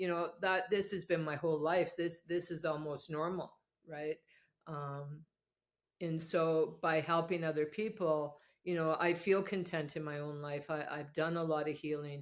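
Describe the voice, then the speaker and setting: A woman's plain, everyday voice at a fairly low pitch, with fairly even intonation and a moderate pace. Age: 60s. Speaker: addiction and rehabilitation program developer, former nurse. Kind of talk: podcast interview.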